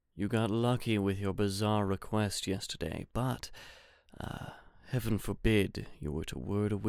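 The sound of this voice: The delivery is an unforced reading voice. Intonation stays fairly even.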